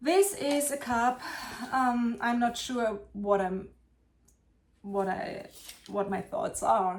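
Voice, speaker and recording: At a very slow pace with long, frequent pauses, a woman with a German accent speaks in a fairly high pitch with lively intonation. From Germany. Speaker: potter. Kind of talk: casual vlog show-and-tell. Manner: halting.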